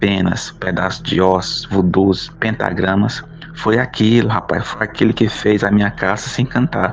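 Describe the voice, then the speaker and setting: Over noticeable background noise, a man with a fairly low pitch speaks at a fairly slow pace with ordinary pitch variation. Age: 30s. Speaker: teacher and writer. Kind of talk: reading aloud of his own short story.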